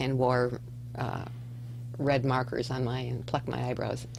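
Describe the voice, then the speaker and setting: A woman with a very deep, low pitch and vocal fry talks at a moderate pace amid audible room echo. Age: 60s. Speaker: educator at an alternative school. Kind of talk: radio interview, casual chat.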